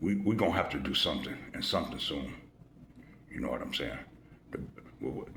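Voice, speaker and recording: With audible room echo behind him, a man at a fairly low pitch speaks at a very fast pace. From US Midwest, Chicago. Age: 60s. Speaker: YouTube commentator. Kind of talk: casual monologue. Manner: animated.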